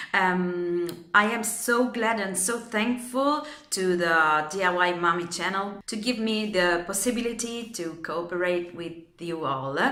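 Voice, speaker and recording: Speaking fairly slowly with an Italian accent, a woman holds a medium pitch and ordinary pitch variation, with noticeable background noise and audible room echo. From Italy. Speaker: DIY and home decor vlogger. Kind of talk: tutorial. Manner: halting.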